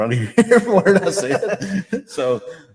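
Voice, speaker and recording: A man talks with a Tennessee accent. His pitch swings very widely. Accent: Southern US (Tennessee). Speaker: radio sports commentator. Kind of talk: casual chat. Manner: loud.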